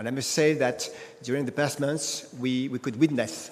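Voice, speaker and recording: Noticeable background noise sits behind a man with a French accent and a fairly high-pitched voice. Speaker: energy company executive. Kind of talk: panel discussion. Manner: halting, many fillers.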